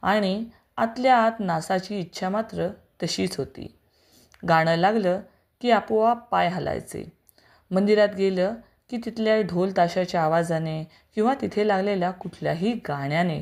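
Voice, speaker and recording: On a very clean recording with a silent background, a woman speaks at medium pitch with ordinary pitch variation in an unremarkable speaking voice. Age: 40s. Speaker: teacher and vlogger. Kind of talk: personal story monologue.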